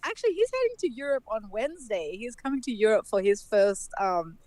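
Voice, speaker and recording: Here a woman speaks with an Australian accent. Her pace is moderate and her pitch swings very widely. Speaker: dancehall dancer. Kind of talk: casual chat.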